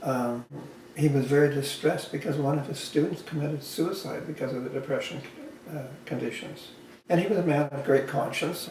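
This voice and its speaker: A man's fairly high voice in a Western Canadian accent, fairly quick in pace and fairly even in intonation, over noticeable background noise. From Canada, Alberta. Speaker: social credit advocate. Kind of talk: casual chat. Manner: halting.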